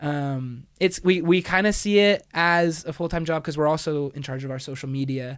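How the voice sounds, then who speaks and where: Heard in a very clean recording with a silent background, a man of fairly high pitch talks at a moderate pace with hardly any pauses, ordinary pitch variation and big swings in loudness. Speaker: college a cappella singer. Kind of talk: casual chat.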